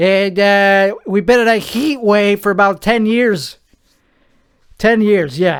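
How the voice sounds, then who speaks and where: A man with an American accent speaks at a very slow pace with a high pitch. His loudness stays very even, with ordinary pitch variation. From Central Texas. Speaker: podcast host. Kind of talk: casual solo podcast chat. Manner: rambling, self-correcting.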